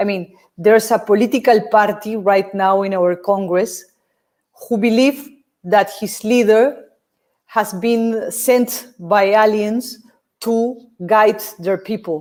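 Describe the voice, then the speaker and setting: In a Peruvian accent, a woman speaks at a fairly high pitch. Her pace is very slow, with long, frequent pauses. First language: Spanish. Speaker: film director. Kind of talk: Q&A interview. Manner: halting.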